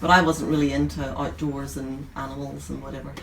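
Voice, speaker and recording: Someone talks at a very fast pace in a Northern Irish accent, with noticeable background noise and audible room echo. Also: woman. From Northern Ireland, rural County Antrim near Belfast. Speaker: nurse and bookstore owner. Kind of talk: interview. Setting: in a bookstore.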